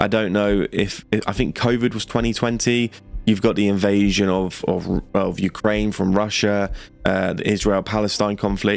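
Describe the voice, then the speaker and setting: A man's fairly low voice with fairly even intonation, over music in the background. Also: moderate pace. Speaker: YouTuber commentator. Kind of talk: casual commentary. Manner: monotone.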